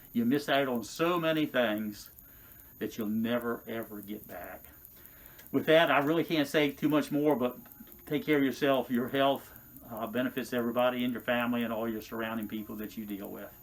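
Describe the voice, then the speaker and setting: A man at medium pitch, fairly quick pace, ordinary pitch variation. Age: 60s. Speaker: retired firefighter, patient testimonial. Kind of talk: testimony. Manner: hesitant, with filler sounds.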